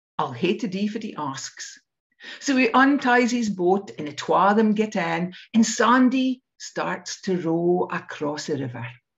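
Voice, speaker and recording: A woman with a North East Scottish accent, vocal fry, a fairly slow pace and very wide pitch swings. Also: medium pitch for a woman. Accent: North East Scottish (Doric). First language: Doric. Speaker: storyteller. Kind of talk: storytelling; casual chat.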